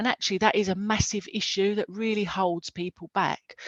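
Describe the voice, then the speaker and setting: A woman with an Essex accent at medium pitch, moderate pace and fairly even intonation, over a quiet background. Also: dry, close sound with no echo. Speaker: careers event host. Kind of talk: live webinar presenting. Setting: video call.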